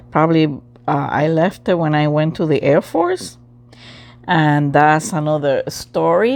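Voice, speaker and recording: This woman has a very deep, low pitch and a non-native accent. Her pace is very slow. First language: not English. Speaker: crafts channel host. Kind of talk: casual talk to camera.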